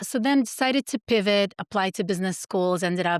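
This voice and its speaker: With a Russian accent, the speaker talks at a fairly quick pace in a dry, close sound with no echo. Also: woman. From Soviet Union, moved to US at ten. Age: 40s. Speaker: pharmacist and supplement founder. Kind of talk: podcast interview.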